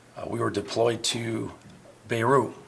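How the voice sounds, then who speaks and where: Speaking at a moderate pace with an American accent, a man comes through over noticeable background noise. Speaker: navy veteran and pub owner. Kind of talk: interview. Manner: halting.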